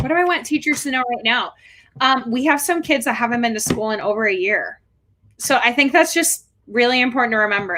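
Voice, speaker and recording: With a Chicago accent, a woman speaks in a high, bright, sharp voice with lively intonation. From Chicago, Illinois. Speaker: special educator. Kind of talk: interview.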